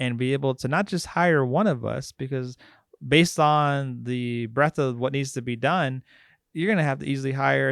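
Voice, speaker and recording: With an American accent and an ordinary speaking voice, a man of fairly high pitch talks at a moderate pace with ordinary pitch variation, in a very clean recording with a silent background and a dry, close sound with no echo. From Arizona, Phoenix area. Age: middle-aged. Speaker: librarian. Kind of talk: panel talk. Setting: library talk event. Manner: casual.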